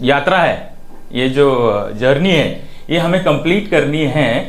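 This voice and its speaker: In a recording with audible room echo, a man talks at a fairly high pitch. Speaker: preacher. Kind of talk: sermon. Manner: slow; halting.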